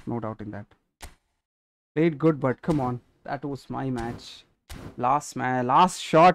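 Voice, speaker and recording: With an Indian accent and a medium pitch, a man speaks at a fairly slow pace, with ordinary pitch variation, big swings in loudness, and long, frequent pauses. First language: Telugu. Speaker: gaming streamer. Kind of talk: live gaming stream commentary. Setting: live stream. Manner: animated.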